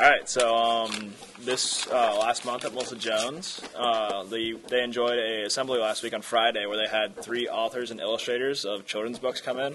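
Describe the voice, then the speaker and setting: A man speaks at a moderate pace with hardly any pauses. His intonation stays fairly even over light background noise. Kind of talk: meeting report. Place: hall.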